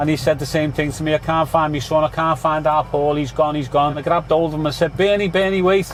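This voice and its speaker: A man with a Liverpool accent speaks at a very fast pace and a fairly high pitch. His intonation is fairly even, with noticeable background noise behind him. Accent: Scouse. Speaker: taxi driver. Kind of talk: casual interview.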